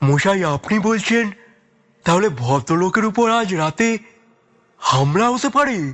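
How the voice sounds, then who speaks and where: A man's put-on character voice, high-pitched with very wide pitch swings and very even loudness. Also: fairly slow pace. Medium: audio drama. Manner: chatty, old-fashioned courtesy.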